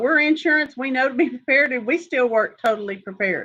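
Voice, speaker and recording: A woman speaks with a Texan accent. Her pace is moderate. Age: 60s. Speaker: insurance agent. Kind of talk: informational Q&A.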